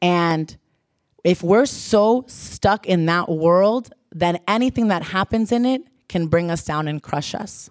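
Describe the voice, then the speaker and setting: Very slow delivery with ordinary pitch variation and a dry, close sound without echo. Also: woman, fairly low pitch for a woman. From South Florida (Pembroke Pines). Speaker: church leader, speaker. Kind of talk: sermon. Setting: church.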